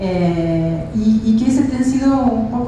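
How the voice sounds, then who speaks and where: With an Argentine accent, a woman with a fairly high voice speaks in a room with audible echo and noticeable background noise. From Argentina. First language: Spanish (speaking Portuguese). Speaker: professor and physician. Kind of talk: lecture.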